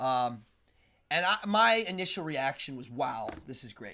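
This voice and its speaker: A man speaks loudly in an animated, bright, sharp tone with very wide pitch swings. The recording is very clean, with a silent background. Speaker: live show host. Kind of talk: live stream interview.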